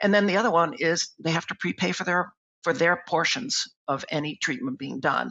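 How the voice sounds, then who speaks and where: The man speaking has a high-pitched voice. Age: 60s. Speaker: dentist and membership plan co-founder. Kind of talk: interview.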